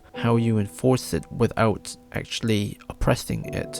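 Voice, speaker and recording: With music playing in the background, a man speaks at a medium pitch. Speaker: video essayist. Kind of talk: video essay narration. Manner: formal, trying to sound serious.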